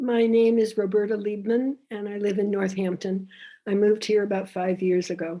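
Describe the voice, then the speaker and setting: This woman's tone is dark and mellow. Her pitch is medium and her intonation fairly even. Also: moderate pace. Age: 80s+. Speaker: public commenter. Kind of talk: public comment at council meeting. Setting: video call.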